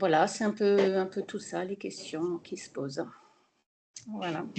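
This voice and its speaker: The voice has a dark, mellow tone with vocal fry. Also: woman. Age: 60s. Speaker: self-employed architect, webinar participant. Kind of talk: personal testimony in a webinar. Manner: hesitant, many fillers.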